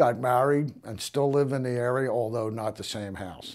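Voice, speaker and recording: At a medium pitch, a man speaks with a Philadelphia accent. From Philadelphia (Frankford). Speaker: community resident, veteran. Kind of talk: interview reminiscence. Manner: hesitant with fillers.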